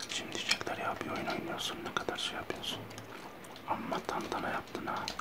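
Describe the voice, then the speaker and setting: A man whispers, keeping to a moderate pace. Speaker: gaming video creator. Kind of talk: casual talk to camera while gaming. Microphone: studio mic.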